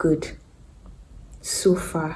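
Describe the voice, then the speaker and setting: In a room with audible echo, a woman speaks in a somewhat breathy voice with a dark, mellow tone. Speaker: vlogger. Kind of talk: casual vlog monologue. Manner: hesitant; whispering.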